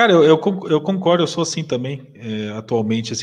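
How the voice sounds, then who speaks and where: This man has an ordinary speaking voice. His pace is moderate and his pitch variation ordinary. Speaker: podcast host. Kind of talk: casual interview chat. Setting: live stream.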